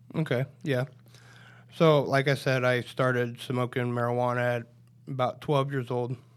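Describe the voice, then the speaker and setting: A man speaks at a moderate pace with a Midwestern American accent and medium pitch. His intonation is monotone and flat, broken by long, frequent pauses. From Nebraska, Polk County. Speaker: recovering addict, court program graduate. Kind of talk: testimony. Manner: halting.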